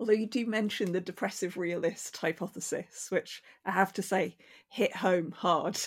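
Spoken at a moderate pace, this is a plain, everyday voice. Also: woman, medium pitch for a woman, fairly even intonation, very clean recording, silent background. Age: 40s. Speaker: podcast host. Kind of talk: interview.

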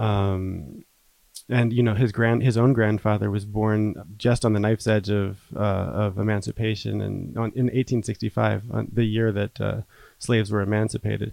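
This man has an American accent and a fairly low pitch. His tone is dark and mellow, his pace moderate and his intonation fairly even. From New Jersey. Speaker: writer. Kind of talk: interview.

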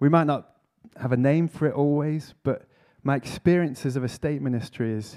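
Here a man speaks in a Lancashire accent. His pace is moderate and his pitch variation ordinary. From northwest England, Preston. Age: 40s. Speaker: vicar and church planter. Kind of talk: conference talk.

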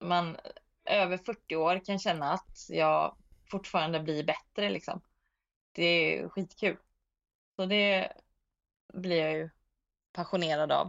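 Delivery is very slow, with fairly even intonation and long, frequent pauses. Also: woman. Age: 40s. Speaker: disc golf player. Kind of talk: interview. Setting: remote call.

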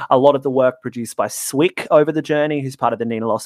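A man with an Australian accent speaks at a medium pitch with ordinary pitch variation, his sound dry and close with no echo. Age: 20s. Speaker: music writer and artist manager. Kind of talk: casual chat.

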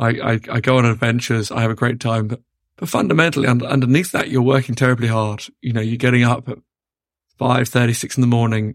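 A man speaks very fast in a British accent at a medium pitch. His intonation is monotone and flat. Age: 30s. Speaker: entrepreneur. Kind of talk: interview. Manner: repetitive, restarts words.

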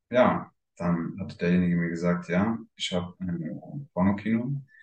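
This man's delivery is very slow. Pitch rises and falls in an ordinary way. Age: 20s. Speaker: swinger club owner. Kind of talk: interview.

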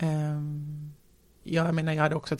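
Moderately paced, a woman speaks with a very deep, low pitch. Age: 40s. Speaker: entrepreneur. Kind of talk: casual interview.

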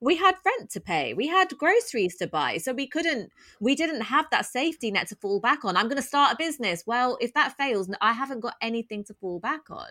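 A woman speaks at a high pitch in a bright, sharp tone, at a fairly quick pace with hardly any pauses. Her pitch swings very widely and her loudness swings a lot, in a dry, close sound with no echo. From north London (Tottenham). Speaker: podcast host and former teacher. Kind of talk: interview chat.

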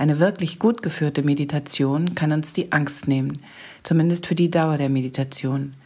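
Speaking at a moderate pace, a woman with a very deep, low pitch keeps her intonation fairly even in a dark, mellow tone. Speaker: podcast host. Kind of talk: podcast intro.

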